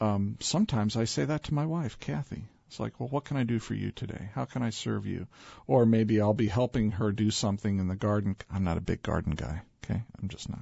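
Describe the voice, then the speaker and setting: In a plain, everyday voice, a man talks at a fairly quick pace with a fairly low pitch and lively intonation. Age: 50s. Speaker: business leader and author. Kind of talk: radio interview.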